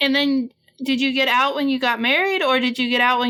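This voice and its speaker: Her high voice is raised and projected, bright and sharp in tone, as the woman speaks at a moderate pace. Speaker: podcast host. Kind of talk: podcast intro and interview questions.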